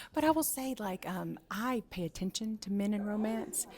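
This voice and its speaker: With a strong Southern US accent, a woman speaks at a moderate pace in a medium, somewhat breathy voice with lively intonation. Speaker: book content creator interviewer. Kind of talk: interview. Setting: book event. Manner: animated.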